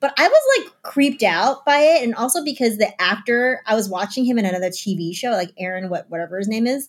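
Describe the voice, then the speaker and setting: A woman talks at a very fast pace with hardly any pauses. Her intonation is lively, with an American accent. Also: fairly high pitch for a woman. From United States. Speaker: podcast co-host, former game company video presenter. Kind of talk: casual chat.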